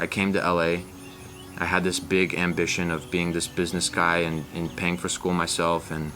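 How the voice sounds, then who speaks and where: A man with a very deep, low pitch and an American accent, at a moderate pace with music in the background. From US South. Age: 20s. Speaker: young entrepreneur. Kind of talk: motivational interview. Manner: animated.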